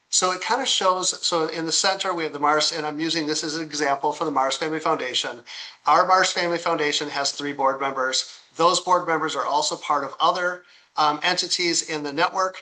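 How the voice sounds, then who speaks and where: A man with a fairly high pitch is speaking. He talks at a fairly quick pace with fairly even intonation. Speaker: software company founder giving a product demo. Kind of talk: product demo tutorial. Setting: recorded live online demo. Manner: fast; halting, many repeats and fillers.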